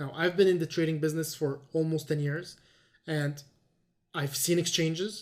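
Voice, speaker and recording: This very clean recording with a silent background features a non-native accent and fairly even intonation. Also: man. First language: not English (English is third language). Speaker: crypto trader and educator. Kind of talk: tutorial. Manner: halting, with fillers.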